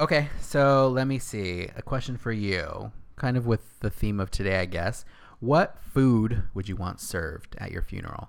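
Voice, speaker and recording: This man has a normal speaking voice at a medium pitch, with lively intonation. He keeps a moderate pace in a very clean recording with a silent background. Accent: American. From Northern California, Castroville. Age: 30s. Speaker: podcast co-host. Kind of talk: casual chat. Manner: laughs often.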